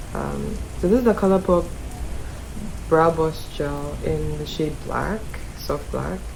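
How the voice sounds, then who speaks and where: A woman talks at a very slow pace, leaving long, frequent pauses. Noticeable background noise runs behind her. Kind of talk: beauty tutorial talk to camera. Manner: casual, relaxed.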